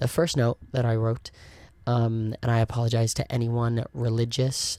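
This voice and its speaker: At a moderate pace, a man speaks in a dark, mellow tone at medium pitch with monotone, flat intonation, on a very clean recording with a silent background. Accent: American. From South Wales, Merthyr Tydfil. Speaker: podcast host and cruise ship performer. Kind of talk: casual solo podcast chat. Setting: home recording with camera and microphone. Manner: casual with many ums. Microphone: new actual microphone.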